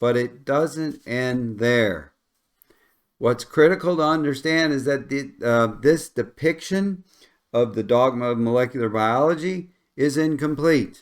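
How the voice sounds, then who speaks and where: A man talks at a fairly slow pace with a Midwestern accent. His pitch is fairly high, with ordinary pitch variation. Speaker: science educator. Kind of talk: lecture. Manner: conversational.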